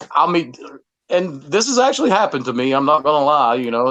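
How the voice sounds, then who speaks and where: A man speaks in a Southern US accent with a fairly high pitch. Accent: Southern drawl. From US South. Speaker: musician. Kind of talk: podcast interview. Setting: studio. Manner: halting, repetitive.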